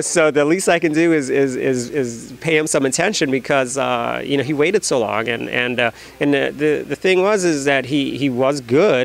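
A fairly high-pitched man with an American accent, at a moderate pace with hardly any pauses and ordinary pitch variation, in a dry sound with no echo. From US Midwest, Chicago. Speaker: comic book artist. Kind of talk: interview. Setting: comic convention. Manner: halting, many fillers. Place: shop. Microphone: handheld.

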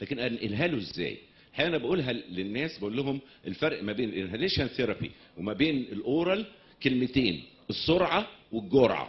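The man's voice is somewhat breathy. He moves at a moderate pace with very wide pitch swings. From Egypt. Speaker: pediatric pulmonology professor; presenter. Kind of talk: lecture. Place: hall.

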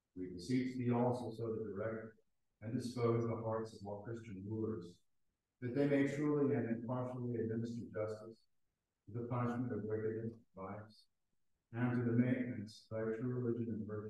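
Strong room echo around a man speaking at a moderate pace with monotone, flat intonation. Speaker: priest leading the liturgy. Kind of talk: fervent liturgical prayer, solemn and intoned in archaic prayer-book language. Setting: church. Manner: solemn, formal, earnest, halting in places. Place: church. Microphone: camera far.

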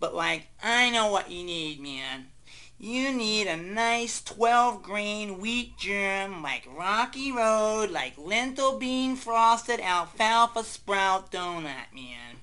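A female-sounding voice at a fairly high pitch and very slow pace, with lively intonation. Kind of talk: comic overacting. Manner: rambling, spacey, filler-laden.

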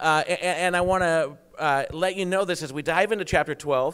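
Music runs in the background. Over it, a man talks in a high pitch. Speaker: preacher. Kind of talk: sermon. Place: church. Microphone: handheld.

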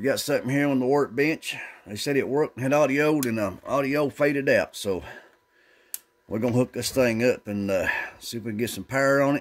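With ordinary pitch variation, a man talks fairly quickly. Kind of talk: casual repair vlog commentary. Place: workshop.

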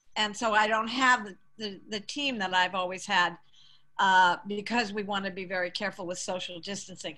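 A woman speaks in a bright, sharp tone at a moderate pace, with fairly even intonation. Her loudness swings widely against a quiet background. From Massachusetts, Boston area. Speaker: community theater director; guest. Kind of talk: casual interview. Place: home room. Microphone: video call.

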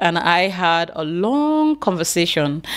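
The speech moves at a very slow pace, with very wide pitch swings. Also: woman. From Nigeria. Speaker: YouTuber. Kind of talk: vlog commentary. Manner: emotional. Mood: expressive, storytelling. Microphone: studio mic.

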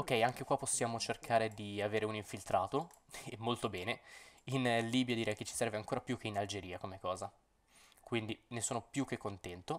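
A man speaks at a fairly quick pace with a medium pitch. His speech has long, frequent pauses. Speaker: gaming YouTuber. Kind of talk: gameplay commentary. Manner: animated.

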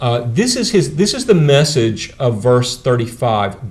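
Speaking at a very slow pace, a man uses lively intonation at a medium pitch. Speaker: preacher and seminary professor. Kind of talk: lecture. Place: classroom.

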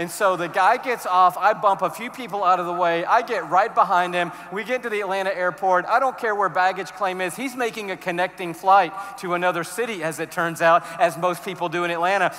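Hardly pausing, a man speaks at a fairly quick pace in a raised, projected voice. His intonation stays fairly even. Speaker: conference speaker. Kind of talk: sermon. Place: stage. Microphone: headset.

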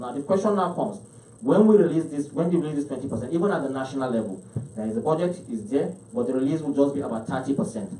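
Audible room echo surrounds a man whose fairly high pitch makes very wide swings. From Nigeria, Niger State; Nigeria. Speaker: state health commissioner. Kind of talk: panel presentation. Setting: stage with audience. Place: meeting room.

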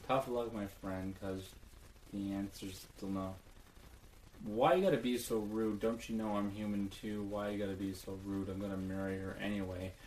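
A man speaks in a deadpan tone with a fairly low pitch and fairly even intonation. Light background noise and audible room echo are present. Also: moderate pace. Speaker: comedy video maker. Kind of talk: comedic dry reading of song lyrics. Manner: monotone, deadpan, dry. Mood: ironic, mock serious. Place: home room. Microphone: webcam.

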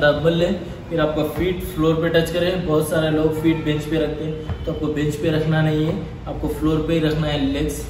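A man talks at a moderate pace in a monotone, flat intonation. The room echo is audible and the background noise is noticeable. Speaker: gym trainer. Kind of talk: tutorial. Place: gym. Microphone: camera far.

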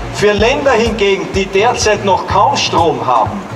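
Man speaking at a very slow pace amid noticeable background noise. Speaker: museum director and ecologist. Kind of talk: public speech. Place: street. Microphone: handheld.

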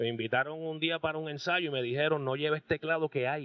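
A man speaks in an unremarkable speaking voice. His pitch is fairly high and his pace fairly quick. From Puerto Rico, Aibonito. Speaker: rock band keyboardist. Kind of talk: casual interview. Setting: restaurant.

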